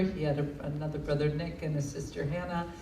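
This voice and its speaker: A woman with an American accent, with audible room echo and noticeable background noise. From United States. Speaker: bereaved parent and foundation founder. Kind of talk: speech at a book launch.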